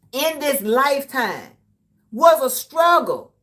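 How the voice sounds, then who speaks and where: Raised and projected, a woman's high-pitched voice carries an animated tone and lively intonation. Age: 60s. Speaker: live streamer. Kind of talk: casual live-stream commentary.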